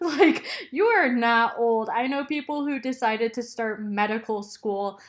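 A woman's plain, everyday voice, fairly high in pitch, with ordinary pitch variation at a fairly slow pace, on a very clean recording with a silent background. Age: 20s. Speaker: podcast host. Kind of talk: solo advice podcast monologue. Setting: recording alone. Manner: casual, frequent ums and laughter.

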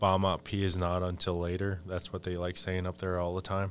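Music plays behind a man with an American accent and a very deep, low pitch. He speaks at a moderate pace in a flat monotone. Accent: Upper Midwest Ojibwe English. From Minnesota, Fond du Lac reservation. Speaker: Ojibwe spiritual advisor and language worker. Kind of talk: casual interview conversation. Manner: halting, frequent fillers.

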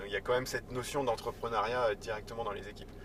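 Over noticeable background noise, a man speaks at a very fast pace. His medium-pitched voice stays monotone and flat. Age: 30s. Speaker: startup executive. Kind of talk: casual interview. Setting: in a car.

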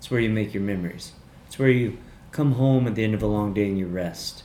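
With an American accent, a man talks in a fairly low voice and leaves long, frequent pauses. There is noticeable background noise behind him. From US South. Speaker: guest. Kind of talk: casual chat. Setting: studio.

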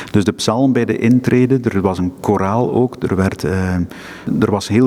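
A man talks at a fairly low pitch and a fairly slow pace. His pitch varies in an ordinary way, and background noise is noticeable. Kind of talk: interview. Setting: crypt of a seminary, echoing room.

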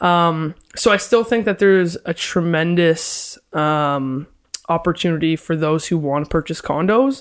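A woman with an unremarkable speaking voice talks at a fairly slow pace, her pitch fairly low and her pitch variation ordinary. The recording is very clean, with a silent background. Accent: Canadian. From London, Ontario. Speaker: realtor and property investor. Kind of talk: casual interview.

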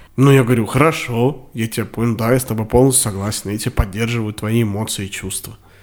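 The speech comes at a very fast pace with hardly any pauses. The recording is very clean, with a silent background. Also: man, medium pitch for a man. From Russia, Samara. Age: 20s. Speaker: podcast co-host. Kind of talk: casual chat. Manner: animated, fast.

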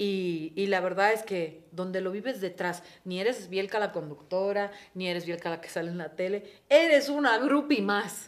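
Using a normal speaking voice, a woman with a medium pitch talks at a moderate pace with lively intonation and big swings in loudness. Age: 40s. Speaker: TV presenter. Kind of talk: casual chat.

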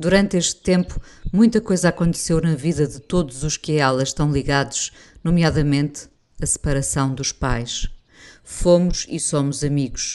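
The speaker has a European Portuguese accent and goes at a fairly slow pace against a quiet background. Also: woman. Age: 50s. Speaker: radio presenter and writer. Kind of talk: reading aloud a personal essay.

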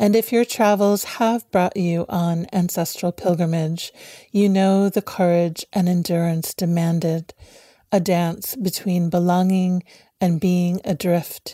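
In a very clean recording with a silent background and a dry, close sound with no echo, a woman speaks at a fairly slow pace in a gentle, calm tone that is dark and mellow, with fairly low pitch, fairly even intonation and very even loudness. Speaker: contemplative prayer leader. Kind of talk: guided meditation. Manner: slow, soft, calm and soothing; gentle, lyrical, reflective.

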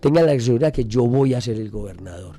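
A man speaks at medium pitch and a fairly quick pace. His tone is dark and mellow, with lively intonation. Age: 60s. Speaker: politician. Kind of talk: radio interview. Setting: radio studio.

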